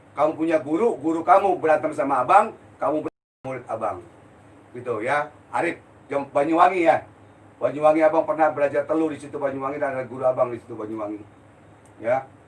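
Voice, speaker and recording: The speech runs at a very fast pace with ordinary pitch variation. Loudness swings widely, and background noise is noticeable. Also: man, fairly high pitch for a man. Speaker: spiritual healer. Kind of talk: live-stream Q&A. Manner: blunt, forceful; heated.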